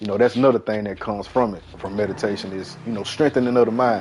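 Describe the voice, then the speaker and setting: A man speaks at a fairly quick pace, his pitch in the medium range. His pitch rises and falls in an ordinary way. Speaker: gaming livestreamer. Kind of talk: casual chat. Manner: fast; animated.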